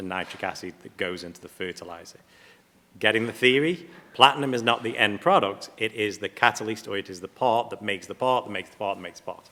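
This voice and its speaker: A man's very fast, fairly low-pitched voice with an English accent, a bright, sharp tone, ordinary pitch variation and big swings in loudness. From England. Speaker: platinum refining company representative. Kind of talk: panel presentation.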